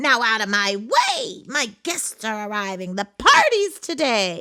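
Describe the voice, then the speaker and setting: A shrill, female-sounding put-on character voice delivered at a fairly slow pace. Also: fairly high pitch for a woman. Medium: read story. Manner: snappish, commanding.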